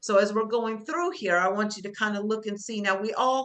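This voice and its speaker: A loud woman's voice, fairly high in pitch, with a bright, sharp tone. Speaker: job skills instructor. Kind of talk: class lecture. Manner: loud teacher voice; conversational, with fillers.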